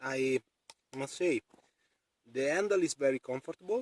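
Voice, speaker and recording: A man's medium-pitched voice with a non-native accent, dry and close with no echo. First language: not English. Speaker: outdoor knife reviewer. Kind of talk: product review demonstration. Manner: halting, many fillers.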